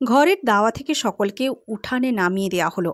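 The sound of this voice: The recording is very clean, with a silent background. A woman talks at a moderate pace with lively intonation.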